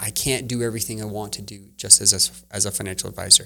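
A man's plain, everyday voice, fairly low in pitch, with fairly even intonation and a fairly quick pace. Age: 40s. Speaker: entrepreneur and work-life balance coach. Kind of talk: podcast interview. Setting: studio, in person.

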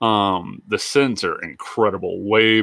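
Dry and close with no echo, the recording carries a man's fairly low voice with a bright, sharp tone and ordinary pitch variation. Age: 20s. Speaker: podcast co-host. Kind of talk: casual chat.

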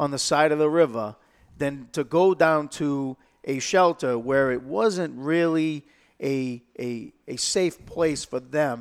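A man's fairly high voice in a Boston accent, with ordinary pitch variation, on a very clean recording with a silent background. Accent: Boston-area New England. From Lowell, Massachusetts. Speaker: state senate candidate, retired police officer. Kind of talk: interview. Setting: studio. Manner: halting, repeats words.

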